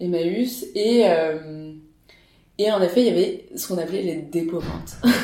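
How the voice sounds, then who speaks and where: A woman speaks at a fairly slow pace in a fairly low voice with ordinary pitch variation. Her loudness swings widely, and the room echo is audible. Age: 20s. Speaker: startup co-founder. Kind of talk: casual interview. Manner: hesitant, many fillers.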